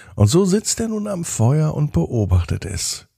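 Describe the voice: Over a silent background in a very clean recording, a man speaks slowly with a dark, mellow tone, a slightly husky edge, vocal fry and big pitch swings.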